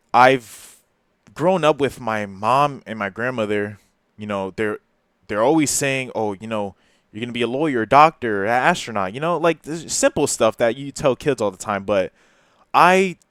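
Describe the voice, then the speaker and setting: A man with a New Jersey accent speaks at a moderate pace, his medium pitch carried by lively intonation and big swings in loudness. The recording is very clean with a silent background, and the sound is dry and close with no echo. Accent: New Jersey American English. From New Jersey, Perth Amboy. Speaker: YouTuber. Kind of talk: personal confessional monologue. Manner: halting, hesitant.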